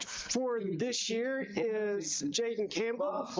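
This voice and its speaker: Noticeable background noise can be heard. Over it, a woman talks at a fairly high pitch. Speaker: sports broadcaster. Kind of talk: sports commentary. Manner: halting.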